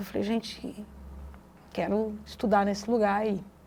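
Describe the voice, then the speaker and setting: A woman speaks with a strong Minas Gerais accent. Her pitch is medium and her pace moderate. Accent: strong Minas Gerais (mineiro). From Brazil, Vale do Jequitinhonha, Minas Gerais. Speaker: educator and researcher. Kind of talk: interview. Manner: halting, many fillers and restarts.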